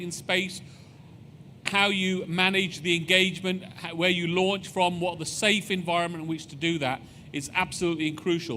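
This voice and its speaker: A man with a British accent talks at a moderate pace. His pitch is high. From United Kingdom. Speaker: space agency executive. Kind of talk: public presentation.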